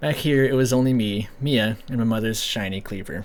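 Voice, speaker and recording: Talking at a fairly quick pace, a man uses a normal speaking voice at medium pitch with ordinary pitch variation. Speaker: horror story narrator. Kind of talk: horror story reading.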